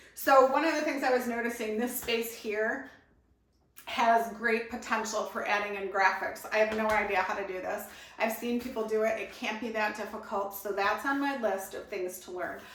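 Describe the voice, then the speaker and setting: Over noticeable background noise and audible room echo, a woman speaks at a moderate pace in a fairly high voice with fairly even intonation. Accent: American. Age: 50s. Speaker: vlogger, glass artist changing career. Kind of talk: casual vlog to camera. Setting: at home in a new house.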